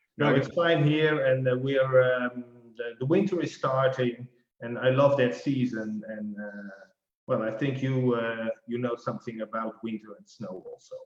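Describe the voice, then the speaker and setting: A man with a non-native accent at a moderate pace, medium pitch with ordinary pitch variation and big swings in loudness. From Netherlands. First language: Dutch. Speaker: financial life planner. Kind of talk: casual interview. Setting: video call.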